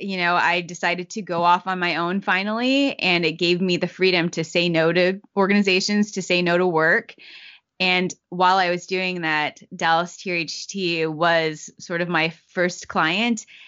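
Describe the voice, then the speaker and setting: A woman's ordinary speaking voice, fairly low in pitch. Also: fairly slow pace. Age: young. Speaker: racial equity communications director and magazine editor. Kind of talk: interview conversation.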